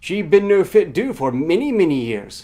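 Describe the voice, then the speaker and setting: A squeaky, put-on character voice speaks at a moderate pace. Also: man, high pitch for a man. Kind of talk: broken speech. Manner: repeating words.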